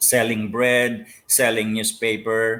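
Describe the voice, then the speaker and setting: A man with a Filipino accent speaks in a fairly low pitch with a bright, sharp tone. The recording is very clean and the background silent. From Philippines. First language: Filipino languages. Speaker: pastor. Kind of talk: interview. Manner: hesitant, many fillers.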